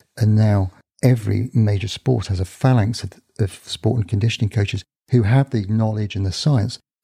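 This man speaks at a moderate pace with fairly even intonation and a fairly low pitch. His tone is dark and mellow, somewhat breathy, with a dry, close sound and no echo. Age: 60s. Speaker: sports surgeon and author. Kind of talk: interview answers.

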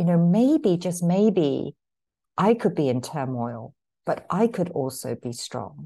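A woman speaks at a very slow pace in a dark, mellow tone, her fairly low pitch swinging very widely. There is vocal fry in her voice over a quiet background. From England, London. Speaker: author and poetry therapy facilitator. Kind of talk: podcast interview.

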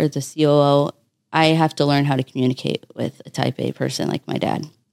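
Very clean and set against a silent background, this recording features a woman with a very deep, low pitch. She talks at a fairly quick pace with ordinary pitch variation. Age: 20s. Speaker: business executive and former nurse. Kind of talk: podcast interview.

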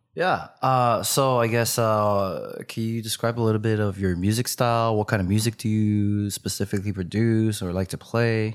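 A man with an American accent talks in a plain, everyday voice at a fairly low pitch and a moderate pace with hardly any pauses. The recording is very clean with a silent background. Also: fairly even intonation. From New York. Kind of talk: casual interview chat.

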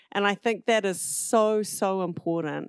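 A woman with a New Zealand accent, fairly slow with ordinary pitch variation, on a very clean recording with a silent background. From New Zealand, southern South Island. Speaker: social entrepreneur, nonprofit founder. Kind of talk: casual interview.

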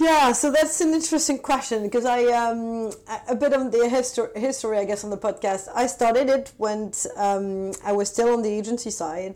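A woman's dark, mellow voice, fairly high in pitch, with a French accent. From France. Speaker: tech marketing executive. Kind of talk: interview. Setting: remote call.

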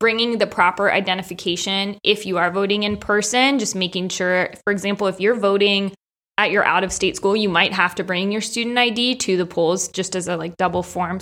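A woman speaks at a medium pitch with a bright, sharp tone and fairly even intonation. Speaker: podcast co-host. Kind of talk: casual chat. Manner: articulate.

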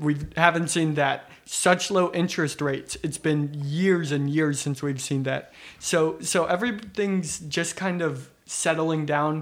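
A normal speaking voice from a man with an American accent, fairly high in pitch, at a fairly slow pace with ordinary pitch variation. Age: 20s. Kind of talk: casual chat.

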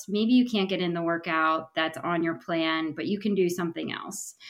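A woman with an unremarkable speaking voice and an American accent talks with hardly any pauses and ordinary pitch variation. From Pennsylvania. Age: 30s. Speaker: triathlete guest. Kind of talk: casual interview. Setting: video call.

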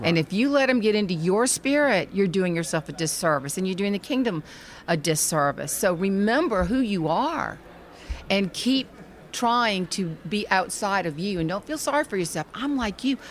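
A woman with a Southern US accent, medium in pitch, at a moderate pace with very wide pitch swings. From Charleston, South Carolina. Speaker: author and speaker. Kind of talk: casual interview chat. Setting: convention hall recording.

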